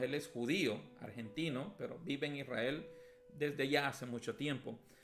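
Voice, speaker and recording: A fairly high-pitched man's voice at a moderate pace, with music in the background. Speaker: pastor teaching a Bible class. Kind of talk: Bible lesson. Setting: at home, streamed.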